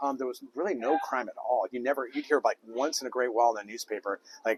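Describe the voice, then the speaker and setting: An animated man with an American accent talks at a very fast pace, the sound dry and close with no echo, though noticeable background noise comes through. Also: medium pitch for a man, ordinary pitch variation. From Southern California, Thousand Oaks. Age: 50s. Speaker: political candidate. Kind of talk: interview. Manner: hesitant.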